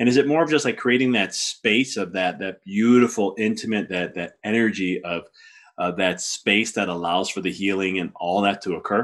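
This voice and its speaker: An enthusiastic man's voice, fairly low in pitch, with ordinary pitch variation and a moderate pace. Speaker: podcast host. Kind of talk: casual interview.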